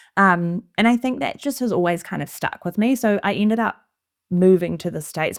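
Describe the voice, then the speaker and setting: In a very clean recording with a silent background, a woman speaks. She keeps a fairly quick pace with ordinary pitch variation. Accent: New Zealand. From New Zealand. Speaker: interior designer. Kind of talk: casual conversation.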